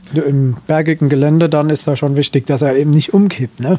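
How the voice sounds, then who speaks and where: A man speaks at a moderate pace. His tone is dark and mellow, with fairly high pitch. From Hesse, northern former Dill district. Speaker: tractor owner. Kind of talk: casual interview. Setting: in an old barn.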